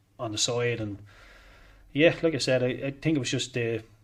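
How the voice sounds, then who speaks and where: A man with a Dublin accent speaks at a medium pitch. His voice is somewhat breathy, and his pace is fairly quick. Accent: Dublin Irish. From Ireland, Dublin. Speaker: former footballer. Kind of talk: interview. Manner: halting.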